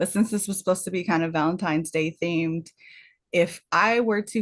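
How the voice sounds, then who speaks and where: Against a quiet background, a woman speaks breathily at a fairly low pitch. Her pitch varies in an ordinary way. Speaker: podcast co-host and baker. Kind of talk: casual chat. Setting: live stream. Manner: breathy, huffing and puffing; hesitant, many fillers.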